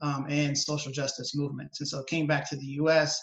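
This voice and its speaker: A man with an American accent speaks at a fairly quick pace and a fairly high pitch, in a monotone, flat intonation. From US South, New Orleans, Louisiana. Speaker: environmental policy advocate. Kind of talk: webinar interview. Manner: halting, many fillers and repetitions.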